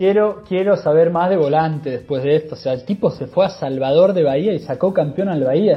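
Over music in the background, a man with a Rioplatense accent talks at a fairly quick pace with a fairly high pitch and hardly any pauses. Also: ordinary pitch variation. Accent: Rioplatense Spanish (Argentine). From Argentina, La Plata. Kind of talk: casual chat.

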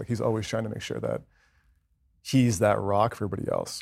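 A man with an American accent is heard on a very clean recording with a silent background. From US Northeast (New Jersey), teen years in Southern California. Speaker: former pro soccer player, corporate executive. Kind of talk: casual interview. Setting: studio.

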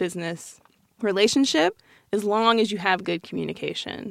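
In a very clean recording with a silent background, a woman with an American accent speaks at a moderate pace in a medium pitch with ordinary pitch variation and vocal fry. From Colorado Springs, Colorado, US. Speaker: designer, design studio partner. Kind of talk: casual chat.

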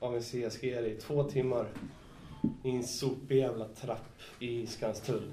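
In a room with audible echo, a man speaks at a medium pitch in a monotone, flat way. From Stockholm. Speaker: graffiti writer. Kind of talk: casual chat. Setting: studio.

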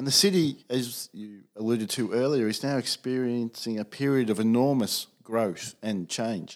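A man with an Australian accent at medium pitch and moderate pace, on a very clean recording with a silent background. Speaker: podcast host, college community director. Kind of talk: interview questions, formal.

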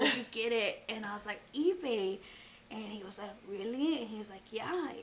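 At a moderate pace, a woman with a South Texas accent speaks in a fairly high pitch. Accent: South Texas Mexican-American English. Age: 30s. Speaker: artist. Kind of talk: casual chat. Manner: animated.

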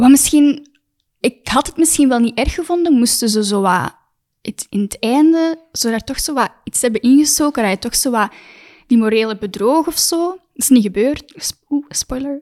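A high-pitched woman with a Flemish accent speaks at a moderate pace with lively intonation, in a dry, close sound with no echo. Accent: Flemish Dutch. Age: 20s. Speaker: actress. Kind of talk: casual chat.

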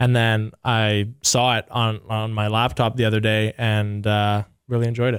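The intonation is monotone and flat. Speech moves at a moderate pace. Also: man, medium pitch for a man. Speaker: hockey player. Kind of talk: casual interview. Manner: casual, relaxed, filler-heavy.

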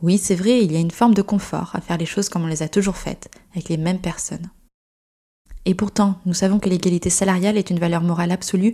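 Her voice is somewhat breathy, with a dark, mellow tone at a medium pitch for a woman. She speaks at a very fast pace with monotone, flat intonation. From France, Gironde. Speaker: podcast host and company founder. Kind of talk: scripted narration.

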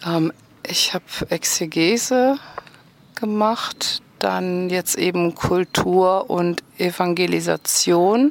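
The sound is dry and close with no echo as a woman speaks at a very slow pace. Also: fairly low pitch for a woman, ordinary pitch variation. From Rhineland, near Bonn. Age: 40s. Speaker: sports therapist. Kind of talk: interview.

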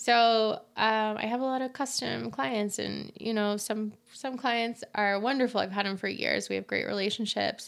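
A woman speaks in a plain, everyday voice at a fairly high pitch with ordinary pitch variation. Her moderate pace has hardly any pauses, and the recording is very clean with a silent background. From Utah, US. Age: 30s. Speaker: fashion designer. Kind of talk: interview.

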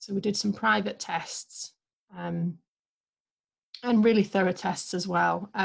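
A woman with an English accent at a fairly slow pace, with long, frequent pauses. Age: 30s. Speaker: guest sharing miscarriage story. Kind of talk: testimony.

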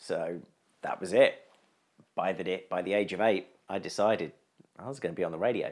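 Speaking fairly quickly in a southern English accent, a man leaves long, frequent pauses. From southern England, East Sussex. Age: 40s. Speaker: improviser and radio producer. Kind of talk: casual interview chat.

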